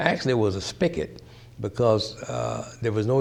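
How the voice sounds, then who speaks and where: A man's medium-pitched voice in an American accent, with a dark, mellow tone, ordinary pitch variation and a moderate pace. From US South, Mississippi. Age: 80s+. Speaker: pastor sharing life story. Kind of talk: oral history interview. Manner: halting, many fillers and restarts.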